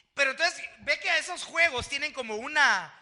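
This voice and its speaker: A man's raised, projected voice, animated and bright, sharp in tone, with lively intonation. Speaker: pastor. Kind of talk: sermon. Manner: loud.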